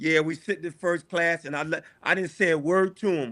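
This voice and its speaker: With a Philadelphia accent, a man speaks in a high pitch with a bright, sharp tone. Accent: Philadelphia American English. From US Northeast, Philadelphia. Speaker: school principal. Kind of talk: casual chat.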